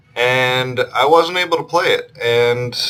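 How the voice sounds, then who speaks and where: Over noticeable background noise, a man with a medium pitch mumbles his words. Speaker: gaming YouTuber. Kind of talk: let's play commentary. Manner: monotone; mumbling. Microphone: laptop built-in mic.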